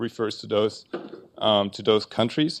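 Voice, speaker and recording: A man speaks with a German accent at a moderate pace. His pitch varies in an ordinary way over a quiet background. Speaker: researcher. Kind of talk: conference talk. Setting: conference panel with audience. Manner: halting, many fillers.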